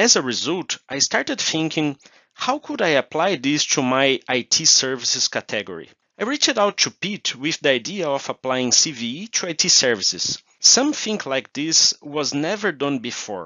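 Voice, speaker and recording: A man with a Portuguese accent, fairly high in pitch, with lively intonation at a moderate pace. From Brazil. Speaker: procurement manager. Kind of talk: interview.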